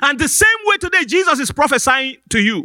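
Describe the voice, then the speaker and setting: A man's raised, projected voice comes through with a bright, sharp tone at a fairly quick pace. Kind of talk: sermon. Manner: call-and-response, exhorting the congregation; earnest, pastoral, with hesitant repeated words.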